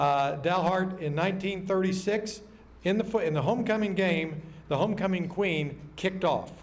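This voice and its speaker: A man's high-pitched voice with an American accent, ordinary pitch variation, very even loudness and audible room echo. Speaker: emcee at luncheon. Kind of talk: banquet speech. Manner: fast; animated.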